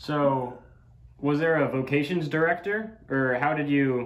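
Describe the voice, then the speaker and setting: A man with a normal speaking voice talks at a fairly slow pace. His pitch is fairly high with ordinary variation. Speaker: interviewer. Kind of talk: interviewer questions. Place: office.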